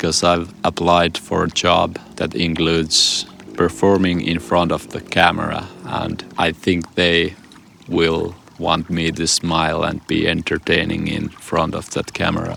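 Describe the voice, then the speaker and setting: A man with a very deep, low pitch speaks in a calm, serious tone with fairly even intonation. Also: fairly slow pace. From Finland. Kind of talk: casual talk to camera. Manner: monotone, calm, serious.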